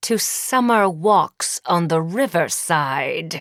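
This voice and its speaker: A woman's put-on character voice, fairly low and strained, with lively intonation at a very slow pace. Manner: clenched teeth, strained anger.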